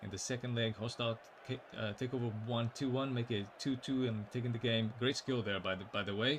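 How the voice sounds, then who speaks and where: At a moderate pace, a somewhat breathy man speaks at a medium pitch with fairly even intonation. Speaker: esports match commentator. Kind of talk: live commentary. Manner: soft-spoken.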